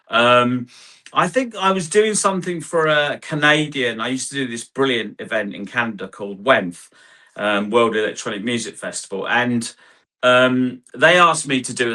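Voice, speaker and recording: The tone is bright and sharp, with lively intonation and an English accent. The pace is moderate, and the background is quiet. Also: man. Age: 60s. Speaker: hard house DJ and producer. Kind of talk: interview. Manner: rambling, halting.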